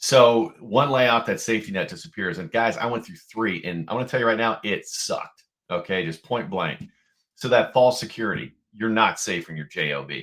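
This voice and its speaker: A man at medium pitch, animated in tone with lively intonation, vocal fry, big swings in loudness and a moderate pace, on a very clean recording with a silent background. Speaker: podcast co-host, entrepreneur. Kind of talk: podcast conversation.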